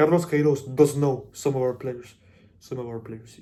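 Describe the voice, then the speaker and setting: The voice is a man's, somewhat breathy. He keeps to a moderate pace. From Colombia. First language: Spanish. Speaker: football content creator. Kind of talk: casual monologue. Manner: halting, many fillers and repeats; animated.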